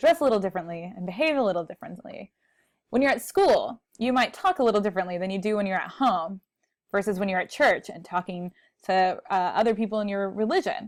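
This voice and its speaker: In a quiet setting, a woman talks at a very fast pace with ordinary pitch variation. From Texas. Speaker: college speech instructor. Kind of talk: recorded lecture. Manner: conversational. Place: home room. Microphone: earbuds.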